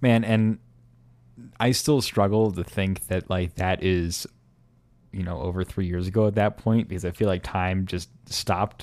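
A man with an American accent speaks at a moderate pace in a very deep, low voice, his intonation fairly even, on a very clean recording with a silent background. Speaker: history podcast co-host. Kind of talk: casual chat.

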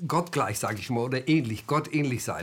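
In a very clean recording with a silent background, a man speaks at a medium pitch, somewhat breathy, with lively intonation. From Germany. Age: 70s. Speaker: author and former army officer. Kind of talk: interview. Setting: studio. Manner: halting.

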